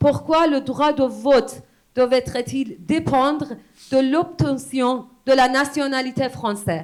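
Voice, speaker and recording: This voice carries a Persian accent. The delivery is very slow. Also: woman. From Iran. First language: Persian (speaking French). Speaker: poet and exile activist. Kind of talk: public speech.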